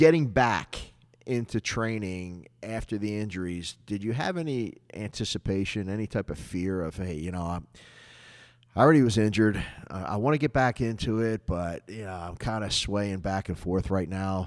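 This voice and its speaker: Recorded very cleanly against a silent background, a man speaks at a moderate pace in an ordinary speaking voice, fairly low in pitch with ordinary pitch variation. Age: 60s. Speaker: podcast host and combatives instructor. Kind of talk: casual interview chat.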